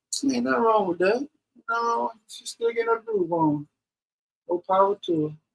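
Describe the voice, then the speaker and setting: Over music in the background, a man speaks high in pitch with very wide pitch swings and long, frequent pauses, the sound dry and close with no echo. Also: moderate pace. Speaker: paranormal channel co-host. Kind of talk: casual chat on a livestream. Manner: stutters.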